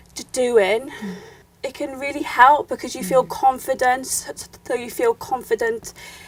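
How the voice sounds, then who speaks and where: The pace is very slow, with very wide pitch swings. Background noise is noticeable. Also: woman. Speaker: YouTuber. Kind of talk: interview answer.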